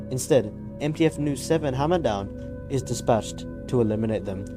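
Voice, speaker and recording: With music in the background, a man speaks at medium pitch. His intonation is lively and his pace moderate. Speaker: gaming lore video creator. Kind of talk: casual explainer narration.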